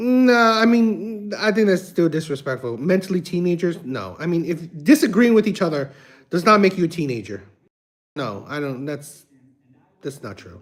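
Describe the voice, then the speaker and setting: On a very clean recording with a silent background, a man with an American accent talks at a moderate pace in a high voice whose pitch swings very widely. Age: 60s. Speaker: YouTube reaction streamer. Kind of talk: casual livestream chat. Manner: halting, many fillers and repetitions.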